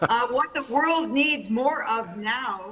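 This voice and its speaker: Over noticeable background noise, a woman with an American accent talks at a very slow pace with ordinary pitch variation. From New York. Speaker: keynote speaker, business consultant. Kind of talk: keynote speech.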